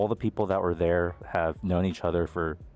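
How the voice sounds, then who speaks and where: Music plays in the background. Over it, a man speaks with an American accent. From US, Colombian immigrant family. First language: Spanish. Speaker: YouTuber. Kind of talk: casual personal storytelling.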